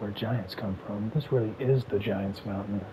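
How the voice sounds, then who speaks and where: Soft-spoken and relaxed, a man talks at a moderate pace with fairly even intonation over noticeable background noise. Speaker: gaming ASMR commentator. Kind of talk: casual gaming commentary talk to camera. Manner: soft-spoken, relaxed.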